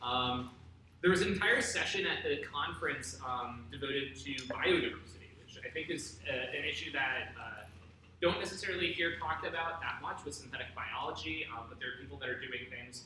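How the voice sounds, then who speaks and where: Amid noticeable background noise, a man talks at a fairly quick pace in a fairly high pitch, with very wide pitch swings and big swings in loudness. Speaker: graduate student researcher. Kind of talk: informal science news talk to a lab group. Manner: casual, hesitant, many fillers.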